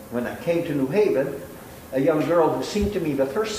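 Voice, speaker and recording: Noticeable background noise and audible room echo surround the recording. A man talks with lively intonation at a fairly high pitch. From Italy. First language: Italian. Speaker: law professor and judge. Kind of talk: lecture.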